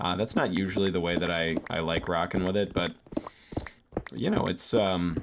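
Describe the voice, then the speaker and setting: A man with a very deep, low voice speaks with fairly even intonation and long, frequent pauses. Noticeable background noise runs underneath. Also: moderate pace. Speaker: gaming streamer. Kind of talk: casual gameplay commentary. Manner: relaxed, low-pitched; hesitant, many fillers.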